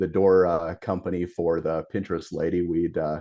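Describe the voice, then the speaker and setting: This is a man speaking. His pitch is very deep and low. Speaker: garage door company owner. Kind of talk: casual interview chat. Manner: hesitant, many fillers.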